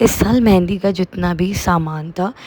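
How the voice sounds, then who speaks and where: Noticeable background noise sits under the recording. A woman speaks at a fairly low pitch. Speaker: vlogger. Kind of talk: vlog narration.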